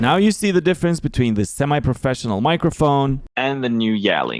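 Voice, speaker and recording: A man with a non-native accent, medium pitch, animated tone, very wide pitch swings and a fairly quick pace. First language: not English. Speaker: tech reviewer, agency owner. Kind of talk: product review vlog. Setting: outdoors in rain on busy street; walking indoors away from office. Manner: casual, animated.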